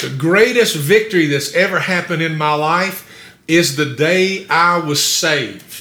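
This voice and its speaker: The delivery is somewhat unhurried. It comes with an American accent. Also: man, high pitch for a man, ordinary pitch variation. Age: 60s. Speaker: pastor. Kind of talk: sermon. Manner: halting.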